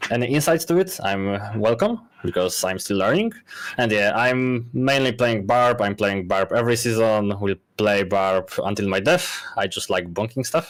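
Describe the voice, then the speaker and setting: This man, speaking with a Polish accent, keeps a moderate pace and ordinary pitch variation. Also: medium pitch for a man. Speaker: game content creator and guide writer. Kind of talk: panel discussion. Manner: halting.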